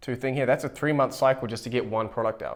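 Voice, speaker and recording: Speaking at a fairly quick pace, a man uses a medium-pitched voice. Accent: New Zealand. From New Zealand. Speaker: YouTuber and AI agency owner. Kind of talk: whiteboard tutorial to camera. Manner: fast, with frequent self-repeats and fillers.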